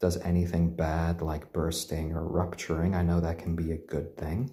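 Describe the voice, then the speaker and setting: A man speaks at a very deep, low pitch and a moderate pace. His tone is gentle, calm and somewhat breathy. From Japan, British parents. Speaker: chicken live streamer. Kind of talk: casual live stream chat. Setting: live stream at home. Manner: halting, many fillers.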